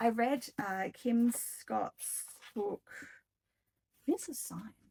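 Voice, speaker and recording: With an Australian accent, a woman speaks at a very slow pace with ordinary pitch variation, in a dry, close sound with no echo. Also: fairly high pitch for a woman. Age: 40s. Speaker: book vlogger. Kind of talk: casual chat. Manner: rambling with many ums.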